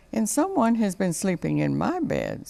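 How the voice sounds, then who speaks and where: A put-on character voice is used here. It sits at a middle pitch and moves at a moderate pace. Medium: read story. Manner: fussy, homespun exclamations.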